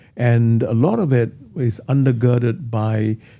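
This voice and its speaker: Medium in pitch with ordinary variation, a man speaks in a dark, mellow tone. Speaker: interviewer, editor. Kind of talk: interview questions.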